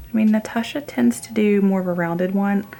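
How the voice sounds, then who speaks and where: A woman's voice over noticeable background noise. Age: 30s. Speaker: beauty vlogger. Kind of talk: makeup tutorial and haul. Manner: quiet, hushed; casual, chatty.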